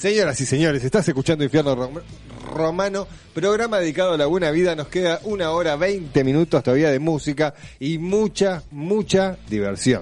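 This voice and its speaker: Noticeable background noise sits behind a man at a moderate pace. His pitch is fairly high with ordinary variation. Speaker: radio host. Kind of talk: casual chat.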